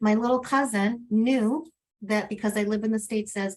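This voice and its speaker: This woman's voice sits fairly high and moves at a moderate pace. Her intonation stays fairly even. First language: Spanish. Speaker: advocate, webinar panelist. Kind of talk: panel webinar.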